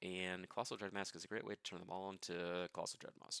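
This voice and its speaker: Dry and close with no echo, a man's very deep, low voice carries a bright, sharp tone. He moves at a fairly quick pace with ordinary pitch variation. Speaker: card game content creator. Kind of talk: casual livestream deckbuilding. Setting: home livestream. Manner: fast.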